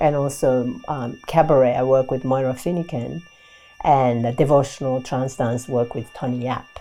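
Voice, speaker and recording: Music plays behind a woman speaking. Her very deep, low voice keeps a fairly even intonation. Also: moderate pace. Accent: Japanese. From Japan. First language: Japanese. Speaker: performance artist and Butoh dancer. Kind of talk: interview talk. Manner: halting, with fillers.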